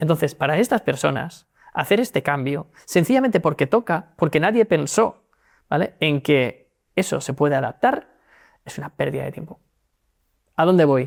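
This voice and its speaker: A man's fairly high voice with vocal fry, lively intonation, big swings in loudness and long, frequent pauses, dry and close with no echo on a very clean recording against a silent background. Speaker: legal tech executive. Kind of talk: interview. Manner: fast.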